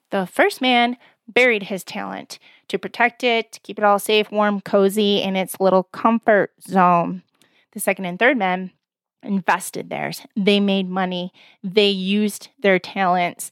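A woman with an unremarkable speaking voice, medium pitch, fairly even intonation, and a dry, close sound with no echo. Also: fairly slow pace, very clean recording, silent background. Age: 40s. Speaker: podcast host and life coach. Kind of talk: motivational faith talk.

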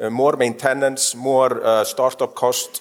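A man with a medium-pitched, a normal speaking voice talks in fairly even intonation over a very clean recording with a silent background. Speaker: panel moderator. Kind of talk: panel moderation. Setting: stage with audience.

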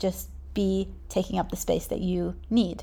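A woman with a New Zealand accent speaks in a dark, mellow tone. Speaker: podcast host, business owner. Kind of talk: solo podcast monologue. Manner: casual, conversational.

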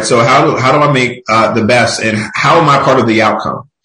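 In audible room echo, a man with an American accent speaks at a medium pitch with ordinary pitch variation. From Philadelphia, US. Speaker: tech industry executive. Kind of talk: podcast interview.

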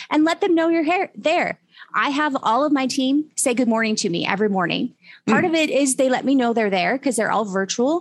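A woman with a high pitch talks at a fairly quick pace with lively intonation. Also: very even loudness. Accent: American. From Utah, US. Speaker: tech company CEO, digital forensics expert. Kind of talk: interview, career advice.

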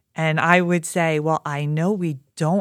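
A woman with a Philadelphia accent speaks at a fairly low pitch with ordinary pitch variation, in a very clean recording over a silent background. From Philadelphia, Pennsylvania. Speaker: education communications director. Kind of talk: interview conversation.

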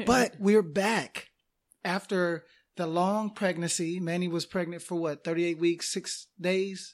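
A man speaks at a fairly slow pace in a high voice with fairly even intonation. The recording is very clean, with a silent background. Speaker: podcast co-host. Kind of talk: casual chat. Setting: recording booth. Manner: quiet, lowered voice.

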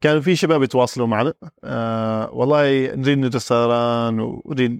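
Recorded dry and close with no echo, a man speaks at a moderate pace and medium pitch with ordinary pitch variation. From Oman, Al-Mudaybi. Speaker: airline pilot. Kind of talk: interview.

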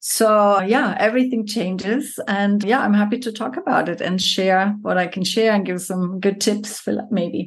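A woman speaks at a moderate pace with hardly any pauses, her medium-pitched voice somewhat breathy and her intonation fairly even. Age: 50s. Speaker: yoga teacher. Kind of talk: casual chat.

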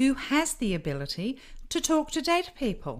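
Recorded very cleanly against a silent background, a woman talks at a moderate pace with very wide pitch swings. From United Kingdom. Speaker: psychic medium. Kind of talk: podcast monologue.

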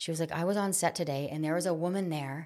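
A woman with an American accent speaks quite quickly with fairly even intonation in a normal speaking voice, fairly low in pitch. The recording is very clean, with a silent background. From rural Pennsylvania, Allegheny National Forest area. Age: 40s. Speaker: mobile spa owner and massage therapist. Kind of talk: casual chat.

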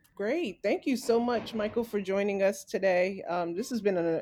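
A woman talks at a fairly quick pace with medium pitch and ordinary pitch variation. She has an ordinary speaking voice. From New York, Staten Island. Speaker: podcast co-host, arts educator. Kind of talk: interview.

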